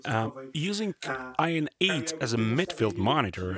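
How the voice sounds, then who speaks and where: A man's medium-pitched voice with a non-native accent and very wide pitch swings, over music in the background. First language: Polish. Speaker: recording studio engineer. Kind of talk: audio gear review voiceover.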